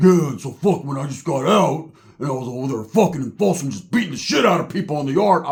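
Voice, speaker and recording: Very fast and gruff, a man performs a put-on character voice at a fairly high pitch. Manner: aggressive, boastful.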